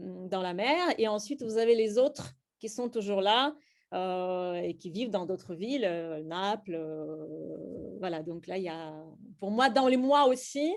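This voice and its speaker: A woman with a Russian accent and medium pitch, at a very slow pace, with big swings in loudness. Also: lively intonation, very clean recording, silent background. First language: Russian (speaking French). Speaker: slam poet and workshop leader. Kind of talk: workshop teaching. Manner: hesitant, many fillers.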